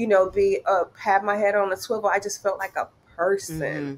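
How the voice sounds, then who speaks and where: A woman with a plain, everyday voice and an American accent talks at a fairly slow pace, with a medium pitch and fairly even intonation. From United States. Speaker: flight attendant. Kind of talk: interview.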